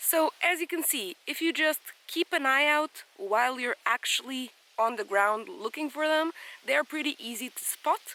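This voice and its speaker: A woman speaks in a raised, projected voice at a high pitch. Her pace is moderate. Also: lively intonation. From Portugal. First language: Portuguese. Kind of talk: casual vlog talk to camera. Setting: outdoors in a forest.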